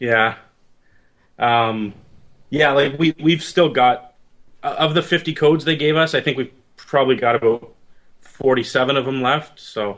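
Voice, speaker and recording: A man with a slight Canadian accent talks at a moderate pace in a fairly high pitch, with ordinary pitch variation and long, frequent pauses. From Canada, near Detroit. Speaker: indie game developer. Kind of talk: interview.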